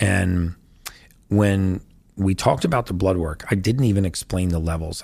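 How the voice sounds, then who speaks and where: A man talks at a fairly quick pace in a very deep, low pitch, somewhat breathy, with fairly even intonation. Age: 50s. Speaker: health and longevity expert. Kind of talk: interview.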